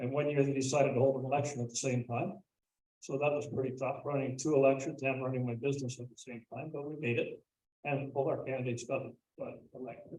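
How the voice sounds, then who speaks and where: A very fast, medium-pitched man's voice in a Canadian accent, dark and mellow in tone, somewhat breathy, with monotone, flat intonation. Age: 70s. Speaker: municipal council candidate. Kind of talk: public candidate speech. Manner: halting with frequent fillers. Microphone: too quiet at first, not close enough to mic.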